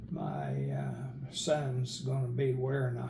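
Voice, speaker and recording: A man talks with an American accent, and audible room echo is present. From Northern Oklahoma. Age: 70s. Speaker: retired medical worker and author. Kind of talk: interview.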